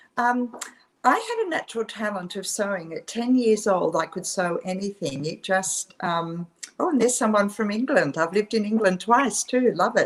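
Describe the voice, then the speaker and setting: A woman speaks in an Australian accent at a fairly high pitch. Her intonation is lively, and her pace is moderate. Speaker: fashion designer. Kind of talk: interview.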